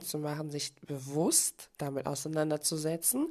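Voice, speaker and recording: A woman at a very slow pace. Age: 30s. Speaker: podcast host and life coach. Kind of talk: motivational monologue.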